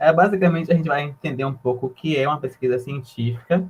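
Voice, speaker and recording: His pitch is fairly high, and it varies in an ordinary way. The man's voice has a somewhat breathy quality. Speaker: university student presenter. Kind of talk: informal presentation to freshmen. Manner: quiet at first.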